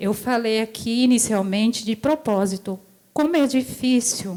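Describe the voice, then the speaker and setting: A woman's fairly high voice varies in pitch in an ordinary way as she talks at a fairly slow pace. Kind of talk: testimony. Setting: church service. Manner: halting.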